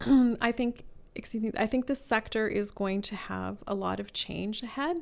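Over a silent background in a very clean recording, a plain, everyday voice moves at a moderate pace. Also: woman, fairly high pitch for a woman, ordinary pitch variation. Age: 50s. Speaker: charity fundraising director. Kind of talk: interview. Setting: office.

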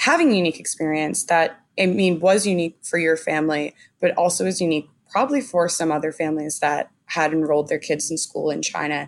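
Pitch variation is ordinary throughout, and it is an unremarkable speaking voice. Delivery runs at a fairly quick pace. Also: woman, fairly low pitch for a woman. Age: 20s. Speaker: podcast host. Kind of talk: interview.

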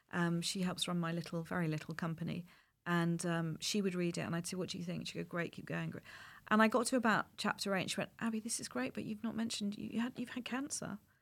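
Very fast delivery with lively intonation, in an English accent. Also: woman, fairly low pitch for a woman. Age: 50s. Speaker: playwright and screenwriter. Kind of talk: interview.

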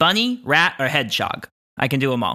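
Using a put-on character voice, a man talks at a fairly quick pace with a fairly high pitch. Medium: actual play. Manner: brisk, cheerful.

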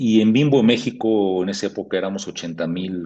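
At a moderate pace, the speaker has a dark, mellow tone with ordinary pitch variation. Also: man. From Mexico City. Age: 60s. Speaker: corporate HR executive. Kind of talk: interview conversation. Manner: halting with fillers.

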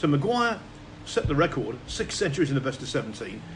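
Swinging very widely in pitch, a man with an English accent speaks at a moderate pace in a fairly high voice. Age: 50s. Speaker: snooker commentator. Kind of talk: casual chat.

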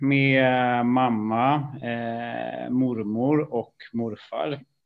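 A man speaks at a medium pitch. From Stockholm, Sweden. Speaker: AI executive. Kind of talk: interview. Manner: hesitant, many fillers.

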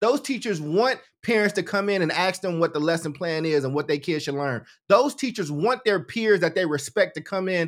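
A man speaks in a high voice with an animated tone and lively intonation at a fairly quick pace. The recording is very clean, with a silent background. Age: 40s. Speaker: education researcher and nonprofit founder. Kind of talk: interview conversation. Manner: animated, casual.

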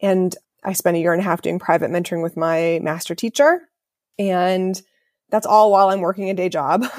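A woman's normal speaking voice with an American accent, medium pitch, fairly even intonation and a fairly quick pace. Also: very clean recording, silent background. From Ohio, US Midwest. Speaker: feng shui consultant. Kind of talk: interview.

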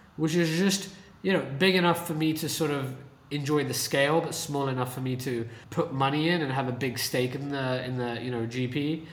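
In a British accent, a man talks at a moderate pace in a fairly high pitch with ordinary pitch variation. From UK. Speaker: venture capitalist. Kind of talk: casual interview conversation. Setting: video call from San Francisco.

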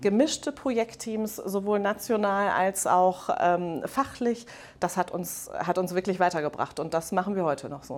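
In a normal speaking voice, a woman talks fairly slowly at a medium pitch with lively intonation, recorded very cleanly against a silent background. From Germany, Rhineland. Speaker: head of mergers and acquisitions at a manufacturer. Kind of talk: interview. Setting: conference venue.

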